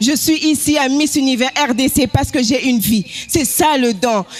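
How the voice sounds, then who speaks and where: Music plays in the background as a woman speaks at a high pitch. Her pace is fairly slow, with ordinary pitch variation. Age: 20s. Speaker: pageant contestant. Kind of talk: self-presentation speech.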